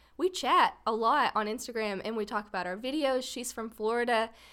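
A woman with a Texas accent talks at a moderate pace. Her pitch is fairly high, with ordinary variation. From Paris, Texas. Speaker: photographer and videographer. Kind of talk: casual chat.

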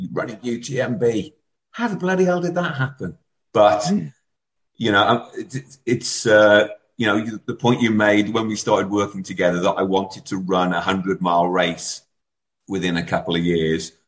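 This man has an ordinary speaking voice, fairly low in pitch, with lively intonation and a moderate pace. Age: 40s. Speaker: amateur ultrarunner. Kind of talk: casual chat.

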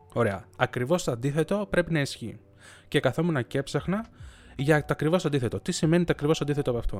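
This man's fairly high voice rises and falls with lively intonation at a very fast pace. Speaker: podcaster. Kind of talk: unscripted solo monologue. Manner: long thinking pauses.

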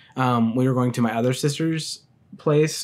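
In a very clean recording with a silent background, a man with a normal speaking voice talks at a moderate pace and medium pitch, varying it in an ordinary way. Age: 20s. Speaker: college student podcaster. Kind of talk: solo self-interview podcast, casual chat. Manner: casual, filler-heavy, laughs.

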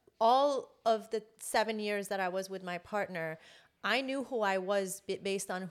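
Recorded very cleanly with a silent background, a woman talks at a moderate pace in a plain, everyday voice of medium pitch and ordinary pitch variation. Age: 40s. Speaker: journalist and producer. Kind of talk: casual chat.

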